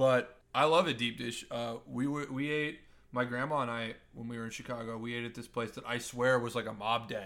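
This is a normal speaking voice with an American accent. It moves at a fairly quick pace with fairly even intonation. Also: man, medium pitch for a man. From Nebraska. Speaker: podcast co-host. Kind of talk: casual chat.

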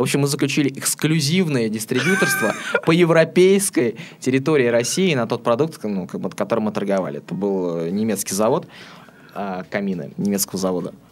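Over noticeable background noise, a man of medium pitch speaks at a fairly quick pace with very wide pitch swings. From Astrakhan, southern Russia. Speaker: web development and promotion specialist. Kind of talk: interview. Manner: hesitant, frequent filler sounds.

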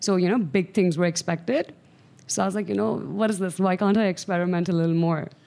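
A woman speaks very fast in a dark, mellow tone at a fairly low pitch. Her pitch varies in an ordinary way, and her loudness stays very even. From Pakistan, Karachi. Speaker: medical student and charity founder. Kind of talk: casual interview chat.

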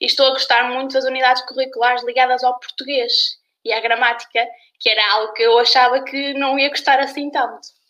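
A woman's raised, projected voice, high in pitch and bright, sharp in tone, with monotone, flat intonation at a fairly quick pace. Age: 20s. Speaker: university student. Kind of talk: casual chat. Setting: live stream.

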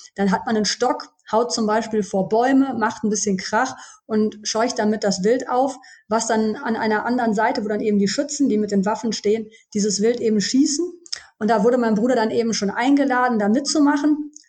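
At a fairly quick pace, a woman speaks with a fairly high pitch and a somewhat breathy voice, keeping her loudness very even and her intonation fairly even. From Germany, Düsseldorf. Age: 40s. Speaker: pharmacist, former hunter. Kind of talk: podcast interview.

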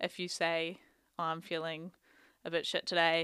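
Speaking with a New Zealand accent, a woman has a fairly low pitch, a bright, sharp tone and monotone, flat intonation. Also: very clean recording, silent background. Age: 20s. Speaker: psychology PhD student. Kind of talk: casual chat.

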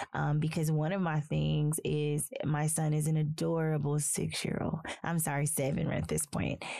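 A woman with a Southern US accent talks at a fairly slow pace in a very deep, low voice, her intonation flat and monotone, with noticeable background noise. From US South, small-town South Carolina. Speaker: podcast host, social worker. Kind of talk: interview conversation. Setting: studio.

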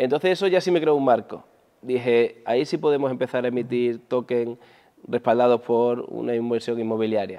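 Moving at a moderate pace, this dark, mellow voice shows ordinary pitch variation. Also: man, medium pitch for a man. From Andalusia, Spain (Huelva). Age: 40s. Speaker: entrepreneur, former pro basketball player. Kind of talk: interview.

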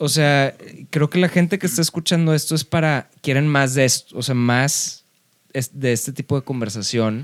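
In a dry, close recording with no echo, a man uses a normal speaking voice at a fairly high pitch, with very even loudness and ordinary pitch variation. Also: moderate pace. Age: 30s. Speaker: rock musician. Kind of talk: casual chat.

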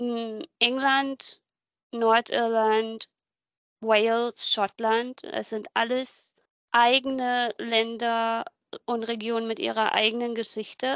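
A woman's fairly high voice, very slow and monotone with flat intonation, in a dry, close sound with no echo and a quiet background. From southern Brandenburg, Germany. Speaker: German emigrant living in England. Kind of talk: casual interview.

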